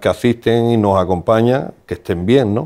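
The background stays quiet. A man speaks fairly slowly. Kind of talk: interview answer. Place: studio. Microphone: lapel.

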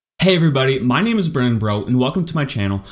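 Quiet surrounds the speaker, a man. His intonation is lively. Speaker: maker youtuber. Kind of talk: casual vlog tutorial. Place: home room.

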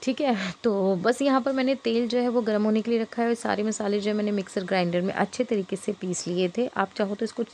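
A woman's fairly quick speech with very even loudness and fairly even intonation over light background noise. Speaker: home cooking channel host. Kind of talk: cooking tutorial. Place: kitchen. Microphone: phone near.

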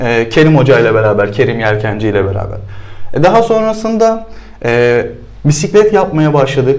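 This man speaks at a moderate pace. His pitch swings very widely. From Turkey, Sakarya (Hendek); Turkey. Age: 30s. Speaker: CrossFit athlete; guest. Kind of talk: interview. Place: studio.

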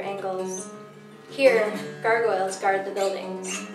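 Over noticeable background noise, a woman speaks at a medium pitch with fairly even intonation. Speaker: poet. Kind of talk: poetry reading. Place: stage.

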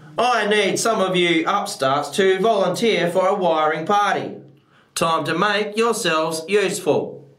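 A man speaks in a high pitch at a fairly slow pace with ordinary pitch variation. His loudness stays very even, and audible room echo is present. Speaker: actor at an audition. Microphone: webcam.

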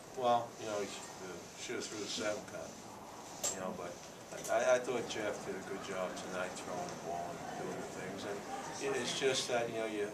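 Loud background noise surrounds a man who talks at a moderate pace, leaving long, frequent pauses. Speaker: head football coach. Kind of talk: press conference answer. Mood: subdued after a loss. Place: meeting room. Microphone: podium.

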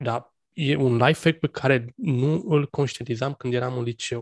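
A man speaks with fairly even intonation and a somewhat breathy voice. The sound is dry and close, with no echo. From Romania, Bucharest. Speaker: podcast host. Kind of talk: casual interview chat. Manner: halting, many fillers.

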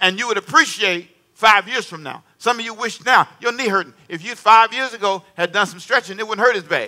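The voice is raised and projected, bright and sharp in tone, animated, and fairly quick, with big swings in loudness and ordinary pitch variation. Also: man, high pitch for a man. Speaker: preacher. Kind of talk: sermon. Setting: church with congregation. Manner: animated call-and-response preaching, prompting the congregation to answer; emphatic, repeating key phrases. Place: church. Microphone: headset.

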